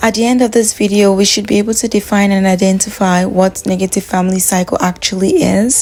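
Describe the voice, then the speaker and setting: A woman speaks at a very fast pace with hardly any pauses, at a medium pitch and with fairly even intonation. Her loudness stays very even against noticeable background noise. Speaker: video creator, self-help talk. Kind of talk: talking-head monologue.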